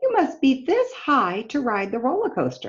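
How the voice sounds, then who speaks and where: A woman uses a put-on character voice with a high pitch. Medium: read story. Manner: brusque, loud.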